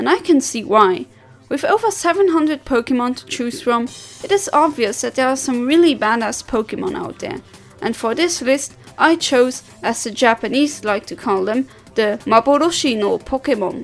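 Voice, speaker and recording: A woman speaks at a moderate pace with a high pitch and lively intonation. Music plays in the background. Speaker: video game countdown narrator. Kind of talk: video countdown narration.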